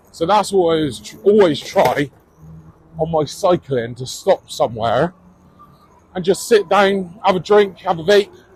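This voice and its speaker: A man's high-pitched voice in a Bristolian accent, with lively intonation, big swings in loudness, and long, frequent pauses. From England, Bristol. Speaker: cycling vlogger. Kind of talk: casual vlog talk. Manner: casual, hesitant with fillers.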